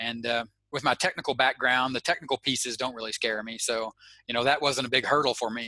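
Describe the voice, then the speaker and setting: A man with an Arkansas accent speaks at a medium pitch and a fairly quick pace, in a bright, sharp tone. His intonation is fairly even, and the sound is dry and close with no echo. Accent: Southern US (Arkansas). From US South, Arkansas. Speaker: internet marketer. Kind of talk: interview. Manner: halting.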